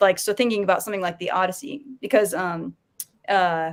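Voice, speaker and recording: An American accent marks this woman's speech. She keeps a medium pitch at a moderate pace. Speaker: panelist on a geek culture discussion show. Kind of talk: casual panel discussion. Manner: halting, many fillers and restarts.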